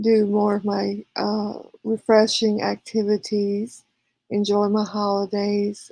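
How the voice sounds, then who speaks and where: A very slow, monotone delivery with flat intonation, in a slight Southern US accent. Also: woman. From California. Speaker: live streamer. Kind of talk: casual chat reading viewer comments. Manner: hesitant with frequent fillers.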